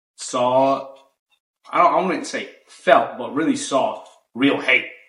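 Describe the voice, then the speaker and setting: A man speaks very slowly in a high voice, with very wide pitch swings and long, frequent pauses. Room echo is audible. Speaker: podcast host. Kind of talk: casual chat.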